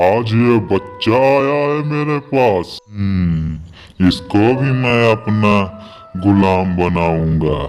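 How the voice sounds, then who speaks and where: Clear music plays in the background. A man speaks in a cartoonish character voice at a very slow pace. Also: fairly low pitch for a man. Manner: menacing, gloating.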